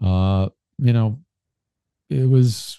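A man with a New York accent, fairly low in pitch, with a dark, mellow tone and a dry, close sound with no echo. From Brooklyn, New York City. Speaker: political commentator guest. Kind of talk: casual interview. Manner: halting, many fillers and repeats.

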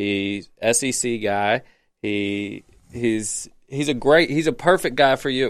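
Recorded very cleanly against a silent background, a man speaks at a very slow pace with a medium pitch and ordinary pitch variation. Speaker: guest sports commentator. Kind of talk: casual sports talk.

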